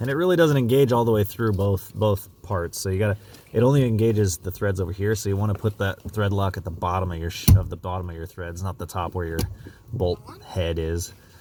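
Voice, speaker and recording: Talking at a fairly quick pace, a man has a fairly low voice with ordinary pitch variation. Noticeable background noise can be heard. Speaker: DIY car repair video maker. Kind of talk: tutorial. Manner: casual, with many fillers.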